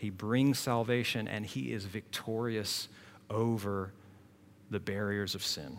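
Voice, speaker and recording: A man talks at a fairly slow pace with a fairly low pitch. He has an unremarkable speaking voice. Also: ordinary pitch variation. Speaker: preacher. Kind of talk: sermon. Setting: church.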